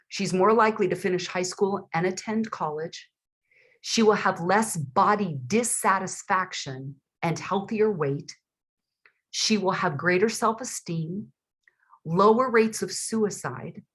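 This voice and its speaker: Somewhat breathy, a woman speaks fairly slowly at a medium pitch with ordinary pitch variation against a quiet background. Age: 60s. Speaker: author and father-daughter expert. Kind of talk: interview. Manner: animated.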